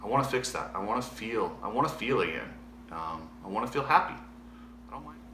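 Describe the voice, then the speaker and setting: A man speaks at a fairly quick pace with long, frequent pauses and big swings in loudness. Audible room echo and noticeable background noise fill the recording. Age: 40s. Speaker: former motocross racer. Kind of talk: personal video diary. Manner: halting.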